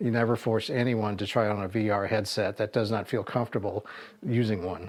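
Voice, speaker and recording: Here a man talks very fast in a fairly low pitch. His intonation stays fairly even. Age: 60s. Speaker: YouTuber reviewing tech for seniors. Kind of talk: tutorial. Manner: casual, halting.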